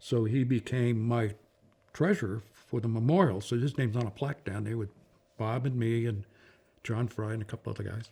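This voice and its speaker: With an American accent, a man talks at a fairly quick pace in a medium pitch, his dark, mellow tone somewhat breathy and his pitch variation ordinary. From Massachusetts (Boston). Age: 80s+. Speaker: war veteran. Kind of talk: oral history interview. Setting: at home.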